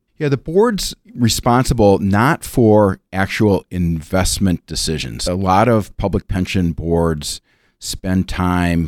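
Recorded very cleanly against a silent background, a man with an American accent comes across dry and close, with no echo. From Minnesota, Minneapolis suburbs. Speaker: bank executive and pension board chair. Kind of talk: interview.

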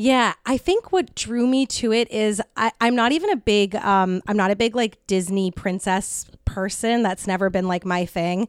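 At a moderate pace, a woman speaks in a plain, everyday voice at a fairly high pitch, with ordinary pitch variation, very even loudness and hardly any pauses. The recording is very clean, with a silent background and a dry, close sound with no echo. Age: 30s. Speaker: podcast host and comedy show organizer. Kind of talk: casual chat. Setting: in-person studio recording.

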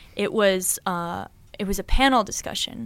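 A woman talks in a General American accent at a moderate pace. She has a normal speaking voice with a medium pitch. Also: very clean recording, silent background. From Boulder, Colorado. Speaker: pro rock climber. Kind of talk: casual interview.

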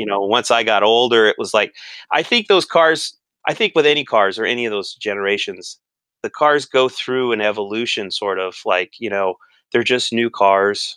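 In an American accent, a man talks at a moderate pace with a bright, sharp tone, medium pitch and ordinary pitch variation. The sound is dry and close with no echo, over a quiet background. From California. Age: 40s. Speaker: car enthusiast. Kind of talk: casual chat.

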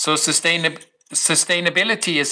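A high-pitched man's voice with a bright, sharp tone. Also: very clean recording, silent background. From Swiss Alps, eastern Switzerland. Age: 40s. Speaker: mountain bike destination developer. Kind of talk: casual chat.

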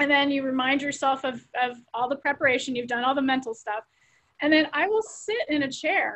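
High-pitched woman's voice, moderate pace, ordinary pitch variation. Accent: American. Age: 50s. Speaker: law professor. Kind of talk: interview.

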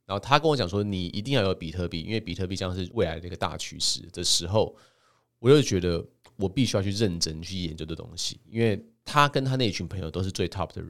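A man speaks very fast with lively intonation in a very deep, low voice. The recording is very clean, with a silent background. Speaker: podcast host and crypto author. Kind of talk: solo podcast monologue presenting his book. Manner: casual, frequent filler particles.

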